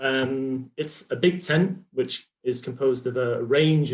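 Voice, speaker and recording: With a British accent, a man speaks in a somewhat breathy voice. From United Kingdom. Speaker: health psychology researcher. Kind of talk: conference talk. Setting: video call. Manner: many fillers and hesitations.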